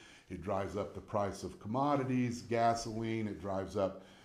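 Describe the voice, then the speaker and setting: With audible room echo around him, a man with an American accent speaks at medium pitch and a moderate pace, varying his pitch an ordinary amount. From Indiana, Lafayette. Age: 60s. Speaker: city mayor. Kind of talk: interview.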